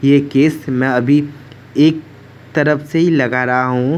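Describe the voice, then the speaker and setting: In a Bengali accent, a man speaks at medium pitch with fairly even intonation. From West Bengal, India. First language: Bengali (speaking Hindi). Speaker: devotional vlogger. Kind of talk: home worship tutorial vlog.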